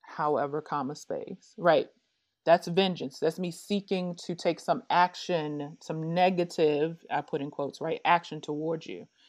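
A woman talks fairly slowly in an ordinary speaking voice, with a fairly low pitch and fairly even intonation. Her loudness swings widely over a quiet background. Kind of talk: casual interview chat.

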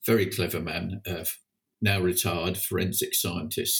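A man's very deep, low voice, somewhat breathy, with fairly even intonation. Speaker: passion flower grower and breeder. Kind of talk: casual interview.

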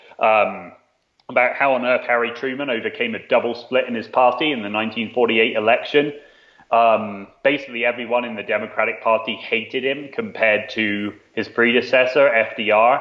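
With a slight British accent, a man speaks at a moderate pace with fairly even intonation. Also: medium pitch for a man. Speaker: author and performance writer. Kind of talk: casual interview chat.

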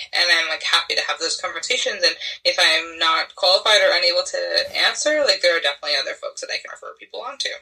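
A woman talks at a very fast pace. Noticeable background noise can be heard. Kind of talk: casual interview.

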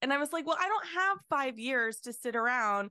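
A woman's raised, projected voice at a high pitch and moderate pace. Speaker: artist and podcaster. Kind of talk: casual conversation.

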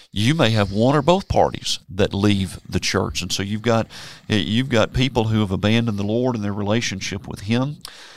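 A man with a Tennessee accent speaks at a moderate pace in a fairly low voice, on a very clean recording with a silent background. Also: ordinary pitch variation. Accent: Southern US (Tennessee). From Memphis, Tennessee. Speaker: preacher. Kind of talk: casual Bible discussion. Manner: halting, repeats words.

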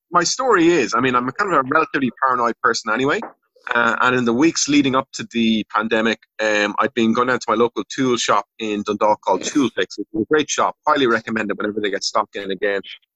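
Talking at a very fast pace, a man with an Irish accent keeps a medium pitch with ordinary pitch variation. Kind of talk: casual chat.

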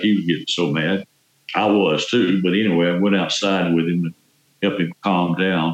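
A man speaks in a very deep, low voice with a Southern US accent. His intonation stays fairly even and his loudness very even. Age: 70s. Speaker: exonerated former prisoner. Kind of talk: interview. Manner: talkative.

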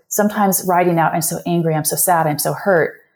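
In an American accent, a dark, mellow tone moves along at a fairly quick pace. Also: woman. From California. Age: 50s. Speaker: yoga teacher and life coach. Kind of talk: interview conversation.

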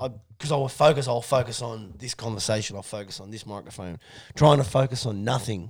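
In an Australian accent, a man at a medium pitch talks at a fairly quick pace, somewhat breathy, with ordinary pitch variation and big swings in loudness. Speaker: podcast co-host. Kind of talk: casual chat.

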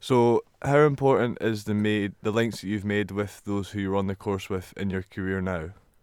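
Fairly low in pitch and with a Scottish accent, a man talks at a moderate pace with hardly any pauses and fairly even intonation on a very clean recording with a silent background. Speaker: student radio interviewer. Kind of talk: interview.

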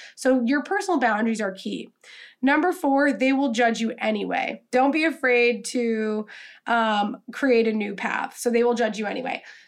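Someone with an American accent speaks with ordinary pitch variation against a quiet background. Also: woman, high pitch for a woman, moderate pace. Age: 20s. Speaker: podcast host, social media coach. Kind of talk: solo podcast monologue. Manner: casual, filler-heavy (um, like).

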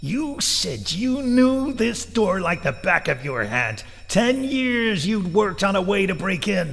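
In a put-on character voice, a man speaks at a fairly slow pace with hardly any pauses, his high, shrill pitch making very wide swings. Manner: hateful, accusing.

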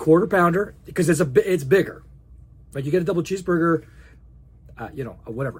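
A man with a high voice talks at a very fast pace with ordinary pitch variation. His loudness swings widely, and he takes long, frequent pauses. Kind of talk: casual chat. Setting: studio.

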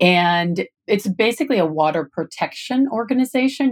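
This woman speaks with an American accent. Her pitch swings very widely. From US Midwest, southwestern Michigan. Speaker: rancher, lawyer and author. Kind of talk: interview. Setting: studio.

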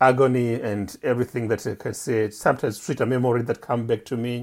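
A man speaks with an East African accent. His intonation stays fairly even. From Zanzibar, Pemba Island. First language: Swahili. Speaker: poet and journalist. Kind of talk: interview. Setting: remote call. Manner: halting.

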